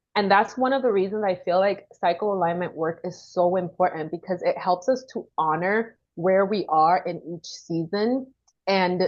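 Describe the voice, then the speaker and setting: At a fairly slow pace, a woman of medium pitch speaks with a Caribbean accent. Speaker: women's wellness coach. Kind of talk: casual interview chat.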